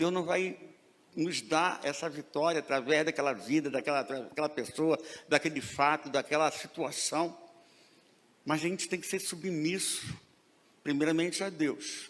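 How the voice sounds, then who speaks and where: This man's voice sits fairly high, with ordinary pitch variation. He speaks at a fairly slow pace, leaving long, frequent pauses. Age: 60s. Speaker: preacher. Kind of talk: sermon.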